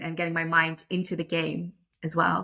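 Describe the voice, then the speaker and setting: A woman's fairly low-pitched voice with an American accent, bright, sharp tone, moderate pace and monotone, flat intonation. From Netherlands. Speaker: lacrosse umpire. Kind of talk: interview conversation. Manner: hesitant, many fillers.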